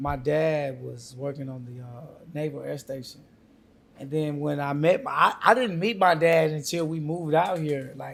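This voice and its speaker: A man with a southern Alabama accent talks at a moderate pace. His pitch is fairly high, with ordinary pitch variation. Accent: Southern Alabama accent, audible. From Alabama, raised in Corpus Christi, Texas. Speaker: rapper. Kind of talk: podcast interview. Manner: casual.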